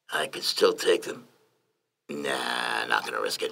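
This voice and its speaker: Someone uses a put-on character voice that sounds raspy and moves at a fairly slow pace. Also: man. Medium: read story. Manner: mocking.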